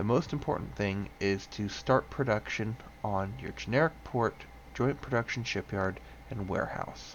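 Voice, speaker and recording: A man speaks quietly at a fairly low pitch. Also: lively intonation, moderate pace. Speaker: gaming tutorial creator. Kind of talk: tutorial. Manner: quiet, subdued because others sleeping.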